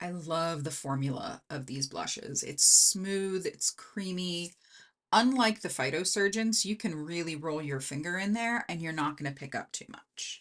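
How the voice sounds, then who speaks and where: The speaker uses an American accent with lively intonation at a fairly slow pace. The background is quiet. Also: woman, fairly low pitch for a woman. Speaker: beauty YouTuber. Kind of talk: casual tutorial. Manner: casual, thinking aloud.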